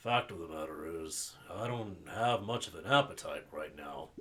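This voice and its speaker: Putting on a character voice, a man sounds raspy at a fairly low pitch. His intonation is lively and his pace moderate. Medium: game stream. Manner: hesitant, melancholy.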